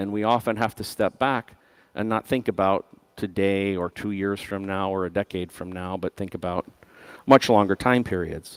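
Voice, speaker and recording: An unremarkable speaking voice moves at a moderate pace with fairly even intonation. The recording is very clean with a silent background, and the sound is dry and close with no echo. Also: man, fairly low pitch for a man. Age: 50s. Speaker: conference speaker, bitcoin system designer. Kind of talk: conference talk.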